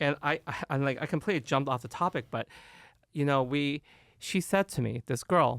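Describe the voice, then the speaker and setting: A man with an American accent, fairly high-pitched, talking at a fairly quick pace with ordinary pitch variation, in a dry, close recording with no echo, very clean with a silent background. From Oklahoma, US. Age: 40s. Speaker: hairstylist and podcast host. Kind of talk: casual chat.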